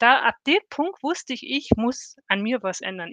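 Speech comes at a fairly slow pace. The background is quiet, and the sound is dry and close with no echo. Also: woman. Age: 50s. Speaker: corporate employee in a self-learning network. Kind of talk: interview. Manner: animated.

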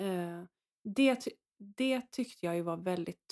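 A woman speaks fairly slowly in a plain, everyday voice with ordinary pitch variation. The sound is dry and close, without echo. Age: 40s. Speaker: priest. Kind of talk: casual chat.

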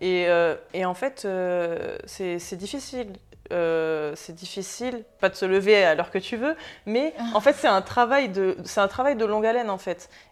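Lively in intonation, a woman speaks at medium pitch and a fairly slow pace on a very clean recording with a silent background. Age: 20s. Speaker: entrepreneur and social media influencer. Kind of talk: interview. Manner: hesitant, many fillers.

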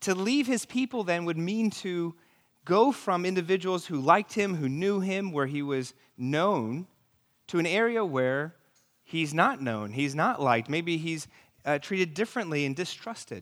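Speaking at a moderate pace with an American accent, a man has a high-pitched voice that makes very wide pitch swings, captured in a very clean recording against a silent background. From New York City. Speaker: pastor. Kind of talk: sermon. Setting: church.

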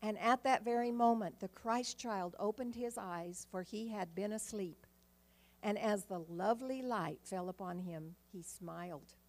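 At a fairly slow pace, a woman speaks in a normal speaking voice. Her pitch is medium with ordinary variation. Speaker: church member. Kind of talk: reading aloud. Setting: church.

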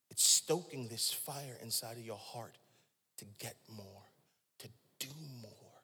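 A man's medium-pitched, bright, sharp voice with an American accent, animated in tone, fairly slow, with long, frequent pauses, big swings in loudness and audible room echo. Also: ordinary pitch variation. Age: 40s. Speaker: pastor. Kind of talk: sermon.

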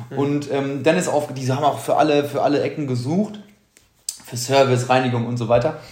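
A man talks at a fairly quick pace with a fairly high pitch. Room echo can be heard around his voice. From Germany, born to Polish family. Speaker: podcast co-host. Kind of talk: casual chat. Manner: animated.

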